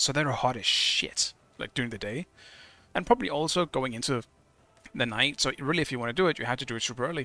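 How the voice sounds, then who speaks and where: A man's bright, sharp voice at a very fast pace. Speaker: video game streamer. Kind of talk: casual live-stream chat while gaming. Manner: mumbling; halting, many fillers and restarts.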